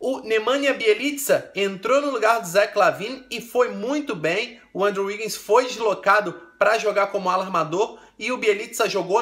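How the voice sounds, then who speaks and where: An animated man with a Brazilian accent and a high pitch, ordinary pitch variation, at a moderate pace. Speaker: basketball commentator. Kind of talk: sports recap commentary.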